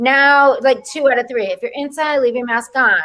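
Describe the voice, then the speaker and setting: A woman with a Rhode Island accent and a bright, sharp tone. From Rhode Island, US. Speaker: comedian. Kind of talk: casual chat.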